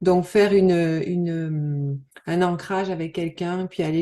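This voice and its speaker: Fairly even intonation comes with a dark, mellow tone. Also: woman. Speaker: NLP practitioner, trade show exhibitor. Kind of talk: interview. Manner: soft-spoken, calm; halting with many fillers.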